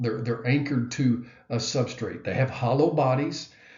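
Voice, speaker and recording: There is audible room echo around a man's somewhat breathy voice. He speaks at a medium pitch with fairly even intonation. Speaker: biology professor. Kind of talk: lecture. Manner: hesitant with many fillers.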